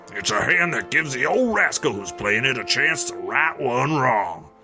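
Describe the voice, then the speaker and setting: Over clear background music, a man puts on a character voice in a Southern US accent, swinging his pitch very widely at a moderate pace. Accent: rural Southern drawl. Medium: audio drama. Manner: folksy, gruff, teasing.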